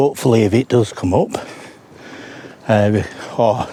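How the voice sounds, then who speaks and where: Speaking at a medium pitch with ordinary pitch variation, a man is heard over noticeable background noise. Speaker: paranormal investigator vlogger. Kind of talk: casual vlog monologue. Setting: outdoors, walking on moors at dawn. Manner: soft-spoken.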